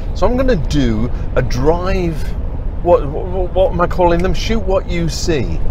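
A man speaks at a fairly slow pace, the sound dry with no echo but with noticeable background noise. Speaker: photography vlogger. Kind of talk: casual vlog chat. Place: car. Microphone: phone near.

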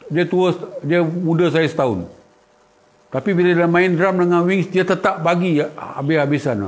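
Over noticeable background noise, a man talks fairly slowly at a high pitch with ordinary pitch variation. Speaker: guitarist. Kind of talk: casual live stream chat. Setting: at home. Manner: animated.

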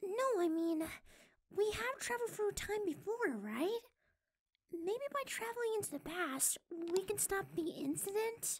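An extremely high-pitched, put-on character voice moves at a moderate pace. It leaves long, frequent pauses. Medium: comedy sketch. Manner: eager, earnest.

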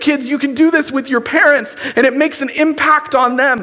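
A man speaks in a raised, projected voice. His pitch varies in an ordinary way. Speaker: youth pastor. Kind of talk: sermon. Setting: church. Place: church. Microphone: headset.

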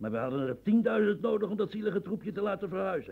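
A man rushes along at a fast pace in a put-on character voice, high-pitched with big swings, vocal fry and a slightly husky edge.

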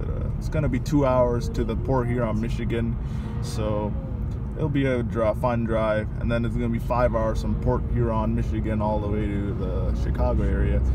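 Loud background noise surrounds a man talking at a moderate pace. No echo is heard, and the sound is dry. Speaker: vlogger. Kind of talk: casual vlog chat. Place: car. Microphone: phone near.

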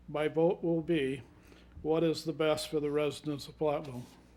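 A man with an Upper Midwest accent, fairly high in pitch, dark and mellow in tone, at a moderate pace. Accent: Upper Midwest American. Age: 60s. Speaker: city council candidate. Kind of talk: candidate forum closing statement.

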